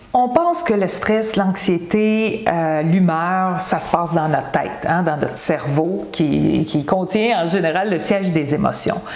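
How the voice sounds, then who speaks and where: The speech runs at a very slow pace with hardly any pauses and ordinary pitch variation, with audible room echo and noticeable background noise. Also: woman, fairly low pitch for a woman. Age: 60s. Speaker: wellness coach. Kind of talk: health advice video. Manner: casual, conversational.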